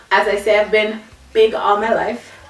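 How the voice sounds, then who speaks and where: Music plays in the background behind a voice with a Virgin Islands accent. The room echo is audible. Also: woman. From British Virgin Islands, Tortola. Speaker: vlogger. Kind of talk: personal vlog, casual storytelling.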